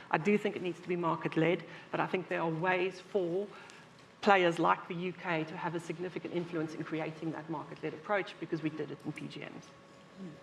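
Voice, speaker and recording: Over noticeable background noise, a woman talks at a fairly quick pace in a fairly low, monotone voice, with big swings in loudness. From South Africa. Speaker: industry expert panelist. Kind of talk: conference panel discussion.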